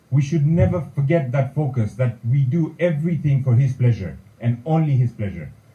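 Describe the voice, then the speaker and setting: This speaker has a somewhat breathy voice, lively intonation and a moderate pace. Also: man. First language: Kutchi. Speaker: community leader, president-elect. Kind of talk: formal speech. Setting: meeting hall, also streamed online.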